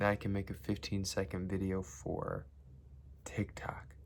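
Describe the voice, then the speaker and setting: A quiet man speaks with a very deep, low pitch and vocal fry. His pace is fairly slow. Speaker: vlogger. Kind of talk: casual vlog monologue. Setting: home basement at night. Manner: quiet, kept low.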